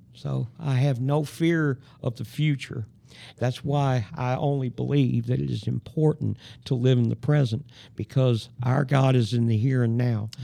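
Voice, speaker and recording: A man with an American accent speaks at medium pitch in a dark, mellow tone. His pace is fairly slow. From Huntsville, Alabama, US South. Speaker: formerly homeless man sharing faith and recovery story. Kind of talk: testimony.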